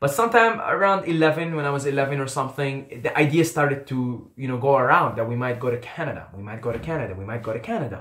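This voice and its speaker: Someone with an Arabic accent speaks at a very fast pace with hardly any pauses and lively intonation. Noticeable background noise runs underneath. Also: man, fairly high pitch for a man. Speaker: YouTuber. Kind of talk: personal storytelling.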